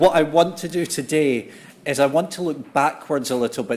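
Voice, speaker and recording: With a Scottish accent, a man speaks at a fairly quick pace with ordinary pitch variation. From Scotland. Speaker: conference speaker on politics. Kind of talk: conference talk. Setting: conference hall with audience and interpreters.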